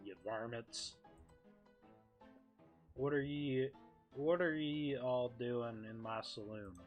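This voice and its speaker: A man's gruff put-on character voice at medium pitch, very slow, with ordinary pitch variation, long and frequent pauses, big swings in loudness, and faint music in the background. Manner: gruff, staying in character.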